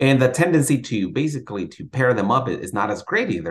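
Talking at a fairly quick pace with lively intonation, a man has a plain, everyday voice. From Mexico-born, raised in Sacramento, California. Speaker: chemistry professor. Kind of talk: interview.

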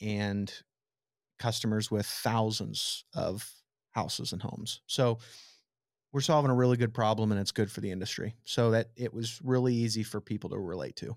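A man with a Midwestern American accent, medium pitch, moderate pace and fairly even intonation. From southwest Nebraska. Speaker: tech startup founder. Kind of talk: interview.

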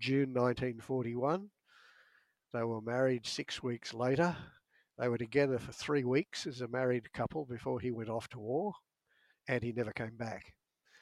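Pauses are long and frequent, with big swings in loudness and ordinary pitch variation at a moderate pace. The voice has an Australian accent and a dry, close sound with no echo. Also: man, medium pitch for a man. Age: old. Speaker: author and meditation teacher. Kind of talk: casual chat.

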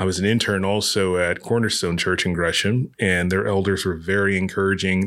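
In an American accent, a man with a fairly low pitch and a bright, sharp tone speaks at a moderate pace. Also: very clean recording, silent background. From US South. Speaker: pastor. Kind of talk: casual interview. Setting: in-person interview at church.

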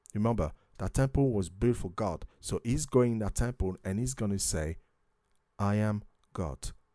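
A man with a French accent and a dark, mellow tone speaks at a fairly slow pace on a very clean recording with a silent background and a dry, close sound with no echo. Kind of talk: religious talk show discussing Bible prophecy and news. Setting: studio.

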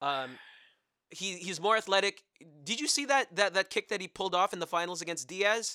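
An animated, raised, projected man's voice with an American accent, high in pitch, bright and sharp in tone, lively in intonation, at a fairly quick pace, on a very clean recording with a silent background and a dry, close sound with no echo. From New Jersey. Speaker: sports podcast co-host. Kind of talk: casual chat.

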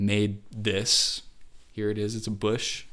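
This man has an American accent and a fairly low pitch. His tone is bright and sharp, and room echo is audible. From Wisconsin. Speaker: video editor and YouTuber. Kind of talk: casual interview chat.

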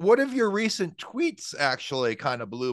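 Over a quiet background comes a man with an ordinary speaking voice. He talks at a moderate pace with ordinary pitch variation. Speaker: podcast interviewer. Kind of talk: casual interview conversation.

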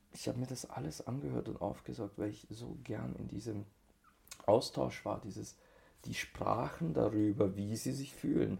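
With a dark, mellow tone and vocal fry, a man speaks at a moderate pace in a fairly low voice that swings very widely in pitch. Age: 30s. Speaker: tantra teacher. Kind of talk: casual chat.

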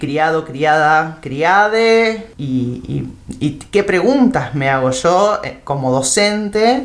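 In an Argentine accent, a woman speaks very slowly in a very deep, low voice with very wide pitch swings. Audible room echo surrounds her. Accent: Rioplatense Argentine Spanish. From Argentina, Buenos Aires province (Temperley). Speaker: teacher trainer. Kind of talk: interview. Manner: halting, with many repeated words and fillers.

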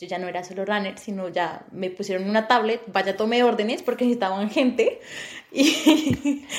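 Over noticeable background noise, a woman talks at a fairly quick pace, her fairly high pitch showing ordinary variation. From Colombia, Bogotá. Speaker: podcast co-host. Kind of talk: casual chat.

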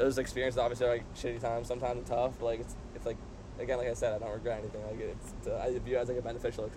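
The room's echo is audible. A man rushes along at a very fast pace. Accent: American. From San Diego, California. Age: 20s. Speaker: university student. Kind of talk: casual chat. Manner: halting, filler-heavy.

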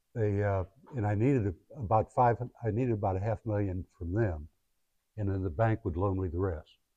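In a dry, close sound with no echo, a somewhat breathy man speaks at a fairly quick pace with fairly low pitch, ordinary pitch variation, and long, frequent pauses. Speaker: guest speaker and founder. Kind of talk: guest lecture to a class. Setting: classroom with students. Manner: halting, conversational, with fillers.

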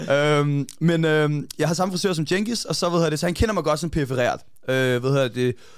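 Fairly high in pitch, a man talks at a fairly quick pace. His pitch varies in an ordinary way, and his loudness stays very even. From Denmark, Copenhagen area (Hvidovre). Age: 30s. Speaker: boxing coach. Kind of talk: casual chat. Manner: halting, many fillers and repeated words.

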